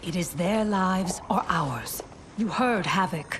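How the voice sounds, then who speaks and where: Using a put-on character voice at medium pitch, a woman talks at a fairly slow pace against clear background noise. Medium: short film.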